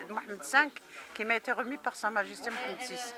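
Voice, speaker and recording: Crowd noise behind a woman's fairly high voice, with ordinary pitch variation. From Morocco. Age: 70s. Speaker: activist. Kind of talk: interview. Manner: hesitant, many filler sounds.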